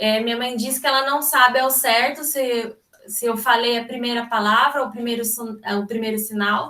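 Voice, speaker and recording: Her fairly high voice stays monotone and flat as this woman speaks. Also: moderate pace. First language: Brazilian Sign Language (speaking Portuguese). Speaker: sign language interpreter. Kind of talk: seminar talk. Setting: video call.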